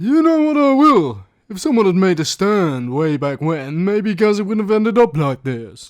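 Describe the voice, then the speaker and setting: A man in a put-on character voice talks high in pitch, his pitch swinging very widely. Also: moderate pace. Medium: audio drama.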